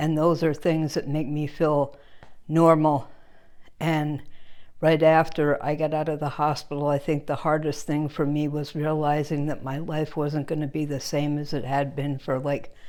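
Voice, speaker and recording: A woman talks at a moderate pace in a very deep, low pitch. Her tone is dark and mellow, and her intonation is monotone and flat. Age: 60s. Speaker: stroke survivor. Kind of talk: personal testimony.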